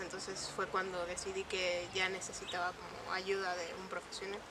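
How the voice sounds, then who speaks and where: A woman's monotone, flat delivery at a moderate pace, with noticeable background noise. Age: 20s. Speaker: communication sciences student, anxiety patient. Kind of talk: documentary interview testimony. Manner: hesitant, many fillers.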